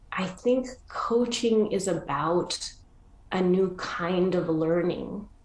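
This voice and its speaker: Very slowly, a woman speaks at a fairly low pitch with ordinary pitch variation, and audible room echo surrounds her voice. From Argentina. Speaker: coaching school leader. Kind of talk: interview.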